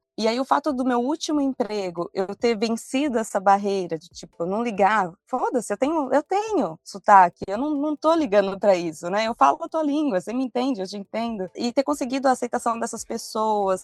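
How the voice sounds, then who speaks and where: A woman with a normal speaking voice talks at a moderate pace with hardly any pauses. Her fairly high pitch carries lively intonation, and the sound is dry and close with no echo. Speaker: Brazilian immigrant in Italy. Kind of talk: podcast interview.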